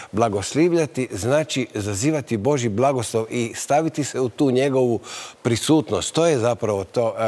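Speaking at a moderate pace, a man shows ordinary pitch variation. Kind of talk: TV panel discussion. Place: studio.

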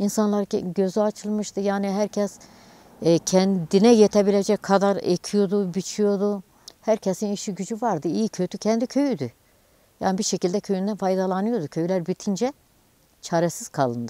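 A woman's dark, mellow voice at medium pitch moves at a moderate pace with ordinary pitch variation, in a dry sound with no echo. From Turkey, Dersim (Ovacık). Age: 60s. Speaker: livestock farmer. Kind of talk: news interview testimony. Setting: outdoors / barn on the farm. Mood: somber, complaining of hardship. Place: street. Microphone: lapel.

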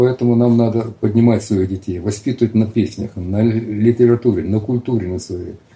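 At a moderate pace, a man talks with hardly any pauses, at medium pitch and fairly even intonation. His dark, mellow tone is somewhat breathy. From Russia, Cossack stanitsa in the south. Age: 60s. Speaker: writer. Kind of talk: casual chat. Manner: halting.

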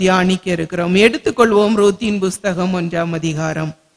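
The voice has fairly even intonation over a quiet background. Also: woman. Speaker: preacher. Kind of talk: sermon. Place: church. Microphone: podium.

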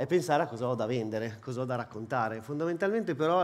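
A man speaks at a very fast pace. His pitch is medium, with ordinary variation. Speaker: head of sales, conference speaker. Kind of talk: conference talk. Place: hall. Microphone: headset.

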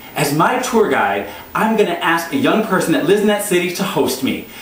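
With audible room echo, a man talks at a fairly quick pace. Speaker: travel show host, comedian. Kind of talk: scripted-style pitch introducing a travel show, comedic monologue. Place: home room.

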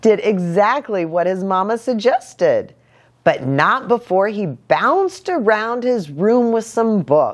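Someone plainly reads a text aloud.

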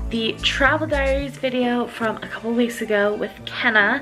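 Fairly slow speech with clear music in the background. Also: woman. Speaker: vlogger. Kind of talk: casual vlog chat. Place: home room. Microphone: phone near.

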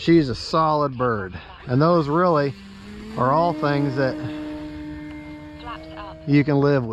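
A man speaks at a very slow pace with ordinary pitch variation. The sound is dry with no echo, and background noise is noticeable. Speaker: RC hobbyist vlogger. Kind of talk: casual vlog chat. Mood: relaxed, friendly. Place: open country. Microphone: phone near.

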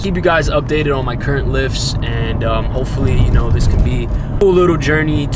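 Music plays in the background while a man speaks. The sound is dry, with no echo. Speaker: fitness vlogger. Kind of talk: casual vlog outro. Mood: relaxed, winding down. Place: car. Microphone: phone near.

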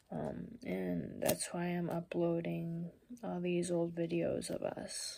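A woman speaks quietly at a very slow pace over light background noise. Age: 20s. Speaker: vlogger. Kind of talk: casual talk to camera. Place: home room. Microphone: phone near.

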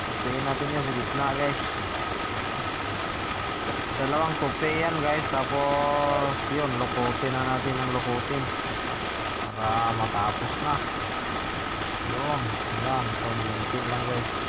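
A man speaks at a very slow pace, leaving long, frequent pauses. Loud background noise runs underneath. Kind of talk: casual vlog chat. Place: street.

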